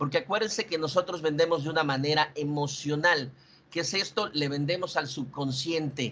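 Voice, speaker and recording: Here a man talks at a fairly high pitch with ordinary pitch variation. His tone is bright and sharp. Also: moderate pace. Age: 40s. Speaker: insurance sales manager. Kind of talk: sales training presentation. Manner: halting.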